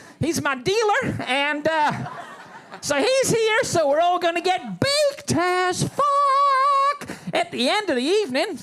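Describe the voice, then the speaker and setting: Over noticeable background noise, a man with an extremely high pitch speaks very slowly in a raised, projected voice, with very wide pitch swings and very even loudness. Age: 70s. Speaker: stand-up comedian. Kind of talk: stand-up. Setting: stage with audience. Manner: animated.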